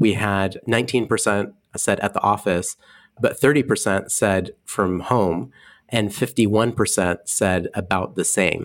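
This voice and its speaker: A man with an ordinary speaking voice, fairly low pitch, fairly even intonation and very even loudness at a fairly slow pace, in a very clean recording with a silent background. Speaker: podcast co-host. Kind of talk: podcast conversation.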